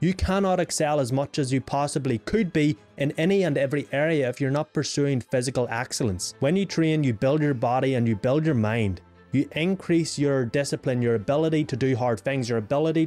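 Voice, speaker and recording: Faint music plays in the background as the speech runs at a fairly quick pace with hardly any pauses. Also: man. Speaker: self-improvement creator. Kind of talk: casual vlog chat. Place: home room. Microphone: studio mic.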